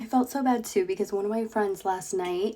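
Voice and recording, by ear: Her tone is dark and mellow, at a medium pitch for a woman. She talks at a moderate pace with ordinary pitch variation.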